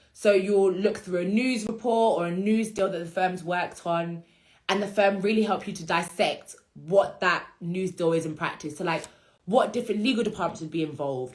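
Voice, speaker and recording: Here a woman speaks with a British accent. Her pitch is medium, with ordinary pitch variation. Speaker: law career content creator. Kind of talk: instagram live Q&A. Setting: Instagram live stream. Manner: fast.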